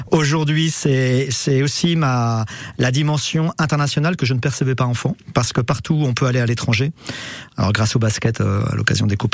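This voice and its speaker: The speaker talks at a fairly quick pace with ordinary pitch variation, and there is noticeable background noise. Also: man. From France, Le Mans (Sarthe). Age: 50s. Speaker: basketball club sporting director. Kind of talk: interview. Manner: halting, many repetitions and hesitations.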